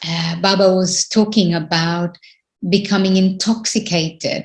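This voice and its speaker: Fairly low-pitched, somewhat breathy speech from a woman at a fairly slow pace, with fairly even intonation. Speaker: spiritual teacher. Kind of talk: spiritual talk.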